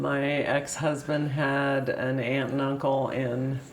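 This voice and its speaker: A woman's very deep, low voice at a very slow pace, with audible room echo and noticeable background noise. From US Midwest, Illinois. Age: 70s. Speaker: interviewee, longtime town resident. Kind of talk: oral history interview. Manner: hesitant, many fillers.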